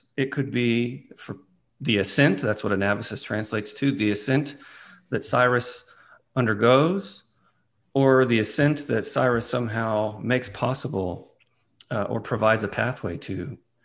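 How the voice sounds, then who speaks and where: In an unremarkable speaking voice, a man talks at medium pitch and a moderate pace, his pitch varying normally against a quiet background. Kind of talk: casual discussion podcast. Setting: remote recording, hosts in different cities.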